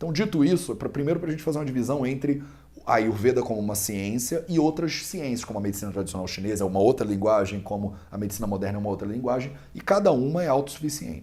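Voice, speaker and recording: A man talks at a very fast pace with a medium pitch and a dark, mellow tone. His intonation is lively. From Brazil, Rio de Janeiro. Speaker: Ayurveda student and teacher. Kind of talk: interview explanation. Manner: conversational with hesitations.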